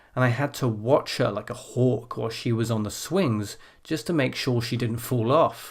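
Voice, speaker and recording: Recorded very cleanly against a silent background, a man speaks at a moderate pace with a medium pitch and ordinary pitch variation. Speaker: IELTS speaking teacher. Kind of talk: tutorial; model exam answer. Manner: clear pronunciation.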